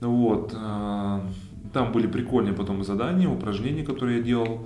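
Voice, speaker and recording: The man speaks very slowly, his pitch varying in an ordinary way over noticeable background noise. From Russia, Kemerovo. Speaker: former volleyball player turned businessman. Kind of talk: casual interview.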